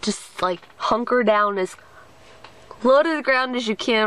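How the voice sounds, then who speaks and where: With ordinary pitch variation and a moderate pace, a woman speaks in a dry recording with no echo. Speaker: daily vlogger. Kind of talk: casual vlog chat. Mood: frazzled, exasperated. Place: home room. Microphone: webcam.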